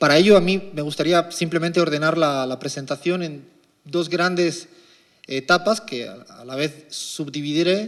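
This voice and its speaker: With big swings in loudness, a man speaks at a moderate pace and a high pitch, using ordinary pitch variation. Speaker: economist. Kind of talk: lecture.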